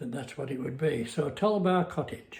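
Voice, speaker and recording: Heard through audible room echo, a man sounds somewhat breathy. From northern England, Westmorland (Cumbria). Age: 90s. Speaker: retired man recounting memories. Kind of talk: casual reminiscing monologue. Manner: halting, many fillers.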